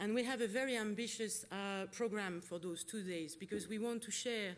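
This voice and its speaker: In a French accent, a woman speaks at a moderate pace with a medium pitch and ordinary pitch variation, with audible room echo. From France. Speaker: conference facilitator. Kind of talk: conference opening remarks. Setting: conference hall with audience and interpretation.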